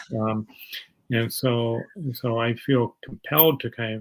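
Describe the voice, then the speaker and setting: A man speaks at a moderate pace in a medium pitch with fairly even intonation. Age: 60s. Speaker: physician. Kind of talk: interview. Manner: halting, many fillers.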